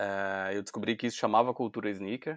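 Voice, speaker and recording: A Pernambuco accent with fairly even intonation, in a dry, close sound with no echo. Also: man. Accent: Pernambuco accent, noticeable. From Brazil, Recife (Pernambuco). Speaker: sneaker media founder, dentist by training. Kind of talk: interview conversation.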